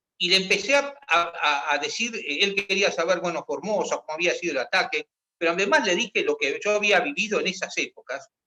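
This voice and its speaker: The delivery is fairly quick. There are hardly any pauses. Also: man. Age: 60s. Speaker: retired army officer. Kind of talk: discussion workshop. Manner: halting.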